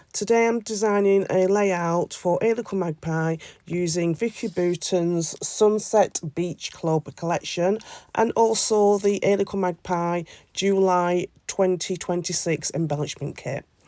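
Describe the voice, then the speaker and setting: In a British accent, a woman speaks at a medium pitch. Her intonation is fairly even. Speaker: scrapbooking crafter. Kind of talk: craft tutorial voiceover. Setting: voiceover. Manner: hesitant, many fillers.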